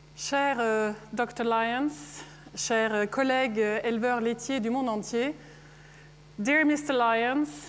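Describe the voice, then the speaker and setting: Speaking with a Scandinavian accent, a woman uses a fairly high pitch, ordinary pitch variation and a fairly slow pace. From Norway. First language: Norwegian. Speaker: dairy farmer and farmers' association president. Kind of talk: conference speech.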